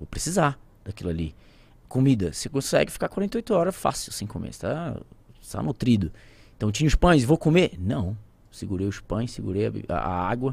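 At a moderate pace, a man's voice swings very widely in pitch and heavily in loudness, with vocal fry and long, frequent pauses. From Santarém, Pará, Brazilian Amazon. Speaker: pilot and plane crash survivor. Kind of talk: casual interview storytelling.

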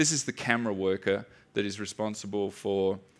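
A man with an Australian accent speaks at a fairly low pitch and a moderate pace. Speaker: software developer and DDD instructor. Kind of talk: conference talk. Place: stage.

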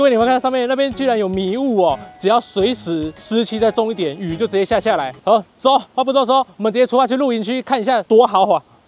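With faint music behind him and a dry sound with no echo, a man speaks at a very fast pace and high pitch, with hardly any pauses and ordinary pitch variation. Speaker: travel vlogger. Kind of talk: casual vlog chat. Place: open country. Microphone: lapel.

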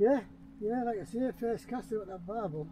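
A man speaks with a Teesside accent at a moderate pace, his pitch high and his intonation lively. His tone is dark and mellow. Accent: Teesside, northern English.

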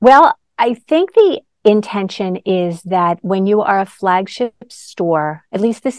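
Against a quiet background, a woman speaks very slowly in a dry sound with no echo. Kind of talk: interview answer. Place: shop. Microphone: lapel.

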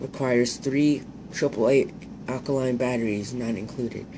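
The man's intonation is monotone and flat. Noticeable background noise runs under his voice. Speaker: hobbyist reviewer. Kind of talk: casual product review, reading features. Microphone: phone near.

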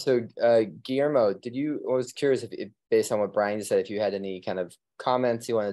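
A man speaks at a fairly quick pace in a dark, mellow tone. Behind him the background is quiet. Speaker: roundtable host. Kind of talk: panel moderation. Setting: video call. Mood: friendly, inviting. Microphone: video call.

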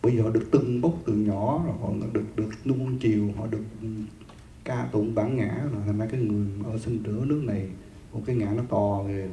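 A man's dark, mellow, somewhat breathy voice at a fairly quick pace, fairly even in intonation, with audible room echo and light background noise. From Vietnam. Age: 50s. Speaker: Buddhist monk teacher. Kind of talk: dharma lecture. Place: hall. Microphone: handheld.

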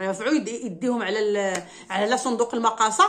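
The tone is animated. The speaker has a Moroccan accent. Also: woman. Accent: Moroccan Darija. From Morocco. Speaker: YouTuber commenting on social news. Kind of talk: casual monologue answering viewer questions. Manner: animated, emotional. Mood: indignant, complaining. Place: home room. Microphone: phone near.

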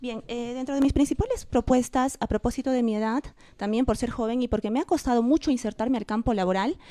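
In a quiet setting, a woman with a dark, mellow tone talks at a high pitch with ordinary pitch variation. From Peru. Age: 30s. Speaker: political candidate; candidate. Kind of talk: election debate. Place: studio. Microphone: handheld.

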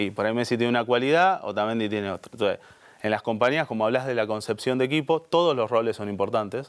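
Man at a very fast pace with ordinary pitch variation, quiet background. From Buenos Aires, Argentina; Argentina. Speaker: HR director; guest. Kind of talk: interview conversation. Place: studio. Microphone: lapel.

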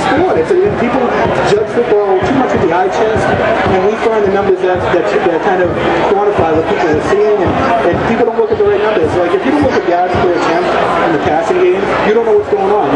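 Over crowd noise in the background, a man speaks at a fairly quick pace with ordinary pitch variation. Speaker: guest. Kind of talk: interview answer. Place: tent. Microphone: camera far.

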